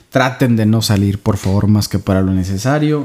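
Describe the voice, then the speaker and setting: A man's voice with a fairly low pitch. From Saltillo, Coahuila, Mexico. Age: 30s. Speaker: podcast co-host. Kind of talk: casual chat.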